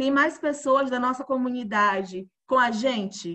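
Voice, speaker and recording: Raising and projecting her voice, a woman speaks at a fairly slow pace with a high pitch, lively intonation and a bright, sharp tone. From Bahia, Brazil (interior, Alagoinhas). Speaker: podcast host. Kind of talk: casual interview.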